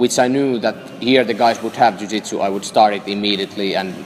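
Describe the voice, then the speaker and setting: A man speaks in a fairly low voice with fairly even intonation. Noticeable background noise runs behind him. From northern Finland, Lapland. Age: 20s. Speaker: jiu-jitsu athlete. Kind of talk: interview. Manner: halting, many fillers.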